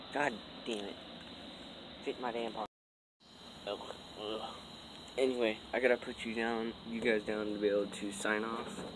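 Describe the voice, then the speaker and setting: Fairly slow, monotone and flat delivery from a man, with long, frequent pauses and noticeable background noise. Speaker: vlogger. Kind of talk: casual vlog monologue. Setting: outdoors. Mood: frustrated, exasperated. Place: garden. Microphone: phone near.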